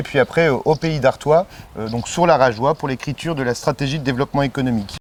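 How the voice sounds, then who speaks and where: Noticeable background noise sits behind a man talking at a fairly quick pace. His pitch is medium, with ordinary pitch variation. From northern France, Pas-de-Calais (Béthune). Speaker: election candidate, politician. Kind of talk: interview. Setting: outdoors in a garden. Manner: hesitant, many fillers.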